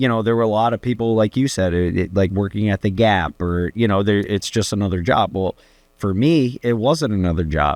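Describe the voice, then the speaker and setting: A man talks in a normal speaking voice at a moderate pace, his pitch fairly low with ordinary variation. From Connecticut, US. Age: 30s. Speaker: cannabis business co-founder. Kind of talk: casual interview chat.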